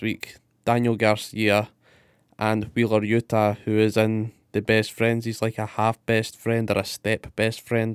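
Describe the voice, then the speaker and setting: In an unremarkable speaking voice, a man talks at a fairly slow pace on a very clean recording with a silent background and a dry, close sound with no echo. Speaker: wrestling podcast host. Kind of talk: casual banter podcast chat.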